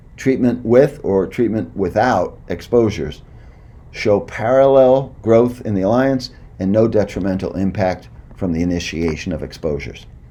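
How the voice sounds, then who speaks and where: Amid audible room echo, a man with a fairly low pitch speaks with lively intonation. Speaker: clinical psychologist. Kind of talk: lecture. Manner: fast.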